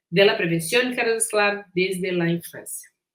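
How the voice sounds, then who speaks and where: A woman is speaking. She has a Portuguese accent. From Brazil. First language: Portuguese (speaking Spanish). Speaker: physician and researcher. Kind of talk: lecture. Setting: recorded conference talk.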